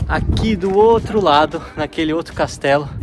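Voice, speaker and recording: A man's moderately paced speech shows ordinary pitch variation over noticeable background noise. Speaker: travel vlogger. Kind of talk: travel vlog narration. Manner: soft-spoken.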